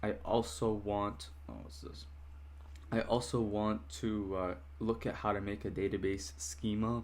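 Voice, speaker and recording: A man talks at a fairly slow pace in a fairly low, somewhat breathy voice. His loudness swings widely. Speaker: software developer vlogger. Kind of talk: casual vlog narration. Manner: hesitant, many fillers.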